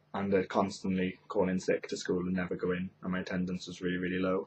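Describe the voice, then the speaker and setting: A man speaks with a Welsh accent. His very deep, low voice moves at a fairly quick pace. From Wales, Carmarthen. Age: young. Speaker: YouTuber. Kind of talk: casual chat.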